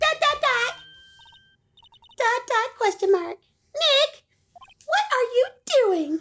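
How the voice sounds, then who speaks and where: A squeaky, put-on character voice at an extremely high pitch, fairly slow, with long, frequent pauses. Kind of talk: video game voice acting. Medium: game stream.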